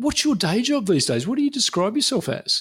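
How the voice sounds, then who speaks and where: Pitch swings very widely here. The speaker has an Australian accent. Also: man, very clean recording, silent background. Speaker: podcast host. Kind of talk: casual interview chat.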